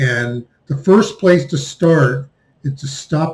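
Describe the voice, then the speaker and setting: This is a man with a somewhat breathy voice. His pitch variation is ordinary. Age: 60s. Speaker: finance commentator. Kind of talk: monologue commentary.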